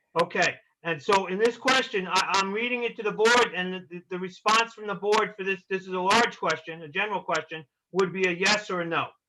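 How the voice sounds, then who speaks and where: Projecting loudly, a man with an American accent talks at a fairly quick pace and high pitch, his intonation fairly even. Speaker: planning consultant advising a city board. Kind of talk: public meeting, explaining a review form. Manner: halting, with frequent repetitions.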